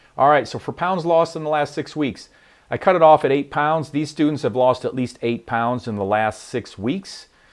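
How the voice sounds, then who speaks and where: A man talks loudly. His pace is moderate. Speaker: online fitness coach. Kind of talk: weekly livestream presentation.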